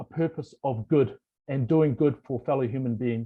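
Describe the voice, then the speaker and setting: A man with a New Zealand accent speaks in a dark, mellow tone that is somewhat breathy, with ordinary pitch variation. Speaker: board member of a human rights organisation. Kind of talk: formal welcome speech. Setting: video call.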